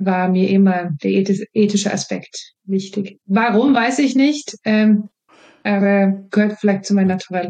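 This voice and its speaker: A woman's dark, mellow voice in a Swedish accent, medium in pitch, with fairly even intonation and a very slow pace. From Sweden. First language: Swedish (speaking German). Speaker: marketing and innovation professional. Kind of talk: interview. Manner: hesitant, many fillers.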